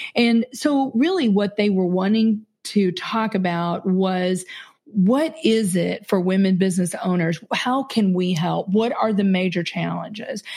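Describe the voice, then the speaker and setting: A woman with an American accent speaks at a fairly slow pace, her pitch medium. Her voice is somewhat breathy, with ordinary pitch variation. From Kentucky, US South. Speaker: business CEO and podcaster. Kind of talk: casual interview conversation.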